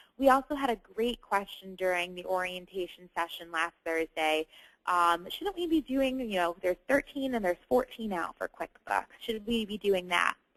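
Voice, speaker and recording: A woman with a medium pitch and a normal speaking voice talks at a moderate pace with lively intonation and hardly any pauses. The sound is dry and close, with no echo. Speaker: online course trainer. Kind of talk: Q&A webinar session. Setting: webinar. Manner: many filler sounds.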